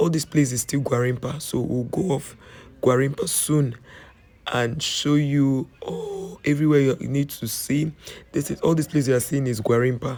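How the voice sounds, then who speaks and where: The speaker sounds strained, with ordinary pitch variation. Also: man, fairly high pitch for a man, moderate pace. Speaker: travel vlogger. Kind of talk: voiceover narration for tour video.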